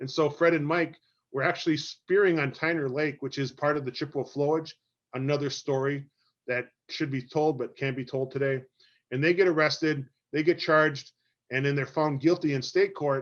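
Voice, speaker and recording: A man's voice sits at a fairly high pitch. The intonation stays fairly even. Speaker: lecturer. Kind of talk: lecture. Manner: fast.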